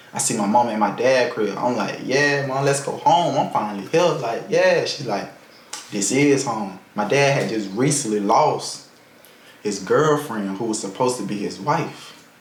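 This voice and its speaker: Lively intonation comes through amid audible room echo and noticeable background noise. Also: man, medium pitch for a man. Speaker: vlogger. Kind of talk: personal life story. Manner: fast; casual.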